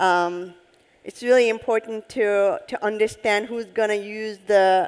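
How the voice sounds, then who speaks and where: Someone speaks in a Turkish accent at a very slow pace with fairly even intonation. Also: woman. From Turkey (Istanbul). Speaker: head of UX design. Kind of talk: on-stage interview. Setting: conference stage with audience.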